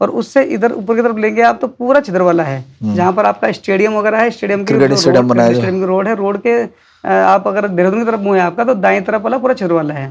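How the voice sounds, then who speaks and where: Barely pausing, a man talks at a moderate pace in a high pitch with very wide pitch swings. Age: young. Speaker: village council candidate and politician. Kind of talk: interview answer.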